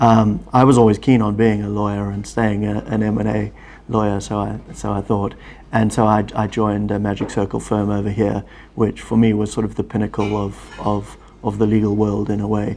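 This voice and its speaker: Using a South African accent, a man talks at a fairly low pitch with monotone, flat intonation. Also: moderate pace. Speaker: family office executive, former lawyer. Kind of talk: interview.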